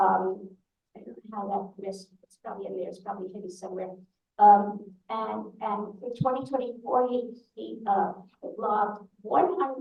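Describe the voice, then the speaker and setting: Speaking at a moderate pace in a New York accent, a woman's voice shows vocal fry and big swings in loudness. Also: medium pitch for a woman, ordinary pitch variation. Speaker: synagogue leader presenting annual report. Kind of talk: annual meeting report. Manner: halting.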